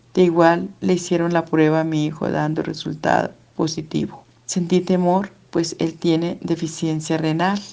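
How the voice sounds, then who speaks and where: Her pitch is fairly low and her tone dark and mellow. This woman speaks at a fairly slow pace with monotone, flat intonation. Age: 60s. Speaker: church member giving testimony. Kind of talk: testimony. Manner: formal.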